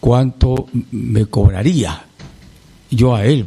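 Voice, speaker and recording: A man speaks with lively intonation. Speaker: singer. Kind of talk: interview.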